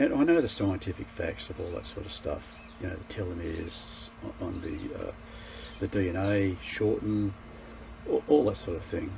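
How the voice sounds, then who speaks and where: A man's loudness swings widely over noticeable background noise. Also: moderate pace. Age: 60s. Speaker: martial arts practitioner and self-improvement vlogger. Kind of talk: casual monologue to camera. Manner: halting, with repeated false starts.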